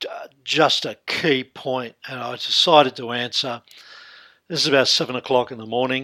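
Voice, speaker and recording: A man's medium-pitched voice with an Australian accent, fairly even intonation, a bright, sharp tone and big swings in loudness. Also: moderate pace. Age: 60s. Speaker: hypnotherapist. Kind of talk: interview.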